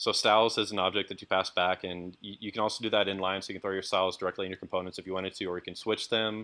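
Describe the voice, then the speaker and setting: A man's very fast speech, fairly low in pitch and bright, sharp in tone, with fairly even intonation, on a very clean recording with a silent background. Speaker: software developer presenter. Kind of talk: lecture.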